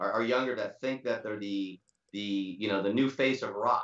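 A man speaks at a fairly quick pace. There is audible room echo against a quiet background. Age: 60s. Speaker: drummer; interview guest. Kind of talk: casual interview. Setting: video call. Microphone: video call.

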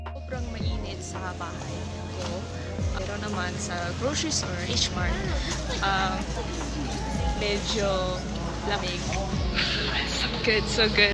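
A woman at a very slow pace, with long, frequent pauses and loud music in the background. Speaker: university student. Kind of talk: casual vlog talk to camera. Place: shop. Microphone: phone near.

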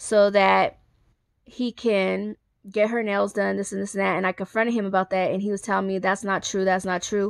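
The sound is dry with no echo. The background stays quiet. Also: woman. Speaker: vlogger. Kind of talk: storytime monologue. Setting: selfie video recorded on a handheld phone. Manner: emotional, rambling delivery. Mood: aggrieved, venting. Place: home room. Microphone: phone near.

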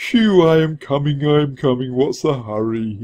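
Using a put-on character voice, a man speaks at a fairly slow pace with a fairly high pitch.

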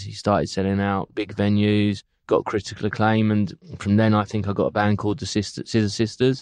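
A man speaks with a London accent at a fairly low pitch. His pace is moderate. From London, England. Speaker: music booking agent. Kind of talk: interview.

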